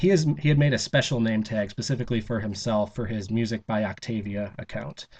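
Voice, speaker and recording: Over a quiet background, a man speaks very fast at a medium pitch with ordinary pitch variation. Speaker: vlogger recording a convention audio log. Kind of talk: personal audio log, casual monologue. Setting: recording in roommate's room for soundproofing. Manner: halting, many fillers and false starts.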